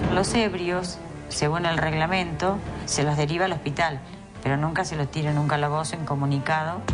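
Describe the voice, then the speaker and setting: With music in the background, a woman with a very deep, low voice talks at a fairly quick pace with ordinary pitch variation. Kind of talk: interview answer.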